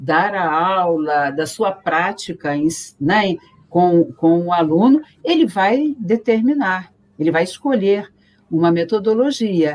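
A woman's medium-pitched voice with lively intonation at a very slow pace. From Rio de Janeiro, Brazil. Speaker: teacher. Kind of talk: casual chat.

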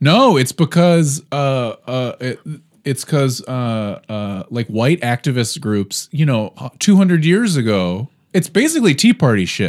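On a very clean recording with a silent background, the voice moves at a fairly slow pace with very wide pitch swings. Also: man, medium pitch for a man. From Baltimore. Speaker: podcast host. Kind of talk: casual chat. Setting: studio.

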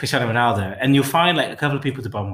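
A man speaks in an East Midlands accent. The recording is very clean, with a silent background. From England, Derby (East Midlands). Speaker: podcast co-host. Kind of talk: casual chat.

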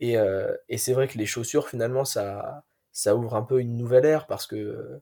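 In a silent background and a very clean recording, a man talks at a moderate pace. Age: 20s. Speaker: sports science student and athletics stats enthusiast. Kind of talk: podcast interview.

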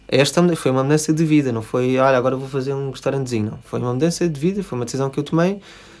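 This man talks at a very fast pace with hardly any pauses. His pitch is fairly high, with ordinary variation. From Portugal, Lisbon. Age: 30s. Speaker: restaurant owner. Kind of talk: interview. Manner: halting, many fillers.

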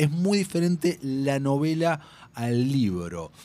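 In a plain, everyday voice, a man speaks at a fairly high pitch. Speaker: film podcast host. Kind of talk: casual chat.

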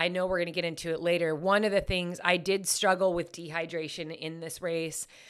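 In a very clean recording with a silent background, a woman with an unremarkable speaking voice talks at a moderate pace and a fairly low pitch. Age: 40s. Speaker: podcast host and ultrarunner. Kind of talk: casual chat.

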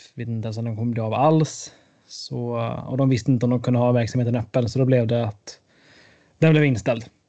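A man's dark, mellow voice at a medium pitch and a very fast pace. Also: fairly even intonation. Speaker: student, podcast co-host. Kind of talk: casual chat.

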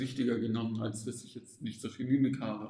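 A man with a medium pitch and a dark, mellow tone talks in a flat monotone while room echo is audible. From Stuttgart area, southern Germany. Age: 20s. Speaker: psychologist in psychotherapy training. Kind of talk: interview. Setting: recorded live at a self-help event. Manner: hesitant, many fillers.

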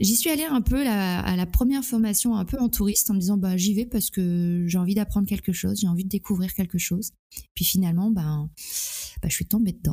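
On a very clean recording with a silent background, a woman talks fairly quickly in a somewhat breathy, dark, mellow medium-pitched voice with ordinary pitch variation and very even loudness. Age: 40s. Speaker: hypnotherapist. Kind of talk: interview. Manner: halting.

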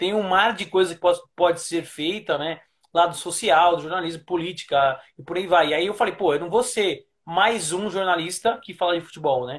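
A man talks at a high pitch with ordinary pitch variation. The recording is very clean, with a silent background. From Brazil, São Paulo area. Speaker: sports journalist. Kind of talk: interview.

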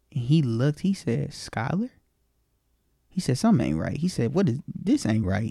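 Somewhat breathy and animated, a man with a fairly high pitch speaks at a moderate pace with very wide pitch swings and long, frequent pauses, in a dry, close sound with no echo. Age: 20s. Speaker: interview guest sharing personal story. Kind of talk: personal testimony.

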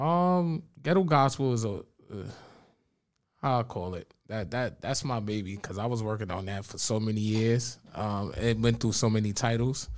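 Speaking at a moderate pace in a medium-pitched voice, the man has lively intonation on a very clean recording with a silent background. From Bronx, New York. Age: 30s. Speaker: spoken word poet and youth mentor. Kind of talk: casual interview chat.

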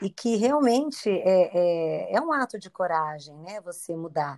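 At a fairly slow pace, a woman of medium pitch speaks with very wide pitch swings and big swings in loudness. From Brazil, Campinas (São Paulo state). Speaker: guest. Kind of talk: casual chat.

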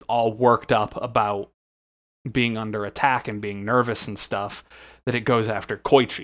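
In a very clean recording with a silent background, a man speaks in a plain, everyday voice at medium pitch with fairly even intonation. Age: 20s. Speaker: podcast co-host. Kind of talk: casual chat.

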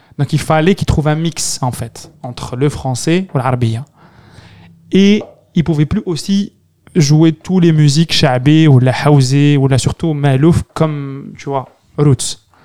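At a very slow pace, a man speaks with a dark, mellow tone and a fairly high pitch. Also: ordinary pitch variation, dry, close sound with no echo. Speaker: podcast host. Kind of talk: casual chat.

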